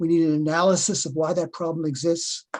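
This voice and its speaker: A dark, mellow tone with a Boston accent. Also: man. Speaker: professor. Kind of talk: webinar Q&A answer.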